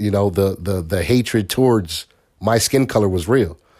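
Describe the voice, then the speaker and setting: With an American accent, a man talks at a moderate pace and fairly low pitch with ordinary pitch variation in a plain, everyday voice, on a very clean recording with a silent background. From Bridgeport, Connecticut. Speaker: parent being interviewed. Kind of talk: casual interview.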